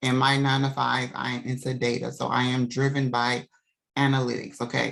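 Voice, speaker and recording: Very deep and low, a woman's voice holds a monotone, flat intonation. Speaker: business coach. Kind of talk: tutorial. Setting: video call.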